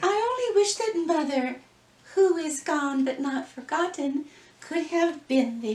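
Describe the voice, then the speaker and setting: A woman's high, put-on character voice, fairly slow, with very wide pitch swings and a slight echo. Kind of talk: stage melodrama acting. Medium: read story. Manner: breathless, wide-eyed, earnest.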